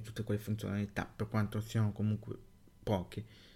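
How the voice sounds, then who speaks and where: The very clean recording has a silent background. A man's dark, mellow voice sounds somewhat breathy. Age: young. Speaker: tech podcaster. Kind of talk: solo podcast monologue. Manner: halting.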